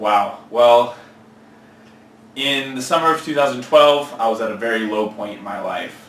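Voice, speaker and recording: A man's medium-pitched voice with an American accent and ordinary pitch variation, amid audible room echo and noticeable background noise. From California, Central Valley. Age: 20s. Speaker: fitness trainer. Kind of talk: interview.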